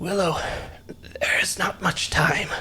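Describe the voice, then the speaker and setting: A man's raspy, whispering put-on character voice against clear background noise. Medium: actual play. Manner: gentle, urgent.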